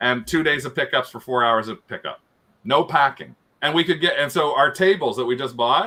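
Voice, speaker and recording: At a fairly quick pace, the speaker uses an unremarkable speaking voice. Pitch varies in an ordinary way. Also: man, fairly high pitch for a man. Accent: Canadian. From Canada. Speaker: reseller and YouTuber. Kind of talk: casual chat.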